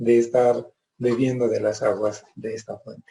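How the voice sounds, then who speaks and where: A man speaks at a fairly slow pace with a medium pitch. His tone is dark and mellow, and somewhat breathy. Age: 70s. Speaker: yoga teacher. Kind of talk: presentation. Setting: Facebook live.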